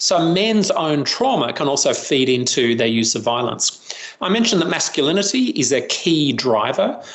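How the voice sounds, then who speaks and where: A man with an Australian accent, fairly high pitch and lively intonation, over noticeable background noise. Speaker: professor and violence prevention researcher. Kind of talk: interview.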